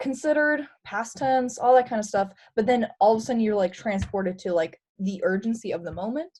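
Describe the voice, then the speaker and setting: Her pace is fairly quick and her intonation lively. This woman has a fairly high, somewhat breathy voice. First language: Romanian. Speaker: presenter. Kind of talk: webinar discussion.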